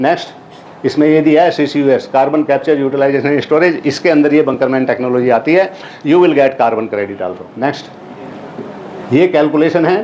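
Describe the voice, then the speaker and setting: A man talks at a moderate pace with a fairly high pitch and ordinary pitch variation. Noticeable background noise is present. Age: 70s. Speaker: retired army officer and inventor presenting his technology. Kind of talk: lecture presentation. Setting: university auditorium with audience. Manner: code-switching Hindi and English.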